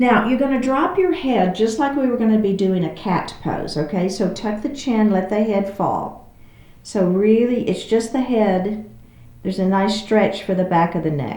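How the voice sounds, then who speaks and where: A fairly high-pitched woman's voice in a Texas accent at a moderate pace, with audible room echo. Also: lively intonation. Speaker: yoga instructor. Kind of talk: guided exercise class.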